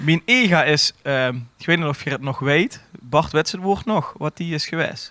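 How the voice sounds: The tone is bright and sharp, with lively intonation. The pace is moderate. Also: man, fairly high pitch for a man.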